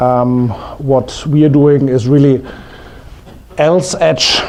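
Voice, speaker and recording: A man speaks very slowly at a medium pitch. Noticeable background noise and audible room echo fill the recording. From Germany. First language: German. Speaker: investment strategy presenter. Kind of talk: conference presentation. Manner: halting, many fillers.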